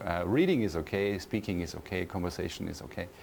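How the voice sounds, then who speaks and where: Someone speaks with a German accent at a moderate pace, with ordinary pitch variation. Music plays in the background. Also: man. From Austria. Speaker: university professor. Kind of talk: interview. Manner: hesitant, many fillers and repeats.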